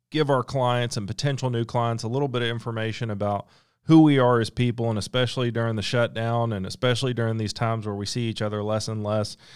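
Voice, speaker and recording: In a very clean recording with a silent background, a man with an ordinary speaking voice talks at a fairly quick pace, medium in pitch, with fairly even intonation. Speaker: lawyer. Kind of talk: casual interview. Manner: informal, conversational.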